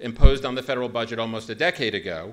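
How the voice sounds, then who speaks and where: The delivery is very fast, with a bright, sharp tone. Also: man. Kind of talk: conference talk. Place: hall. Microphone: podium.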